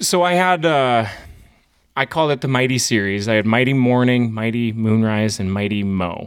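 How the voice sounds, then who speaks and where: The speaker has an Upper Midwest accent and lively intonation. The pace is moderate. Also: man, medium pitch for a man. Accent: Upper Midwest American. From North Dakota (small town). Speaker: coffee roaster business owner. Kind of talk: interview.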